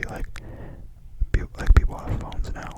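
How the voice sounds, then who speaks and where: A woman whispers as noticeable background noise plays. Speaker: ASMR creator. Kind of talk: casual talk to camera, opinion discussion. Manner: conversational, casual, thoughtful.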